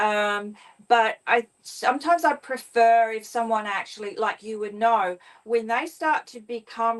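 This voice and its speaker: Speaking at a fairly slow pace with an Australian accent, a woman uses a fairly high pitch and ordinary pitch variation. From Queensland, Australia. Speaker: spiritual author and astrologer. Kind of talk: interview. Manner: hesitant, many fillers.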